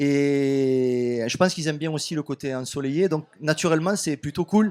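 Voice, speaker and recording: A man talks with a southern French accent at a fairly high pitch. His pace is moderate and his pitch varies in an ordinary way. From southern France, Béziers area. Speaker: author and music label owner. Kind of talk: radio interview. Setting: radio studio at festival.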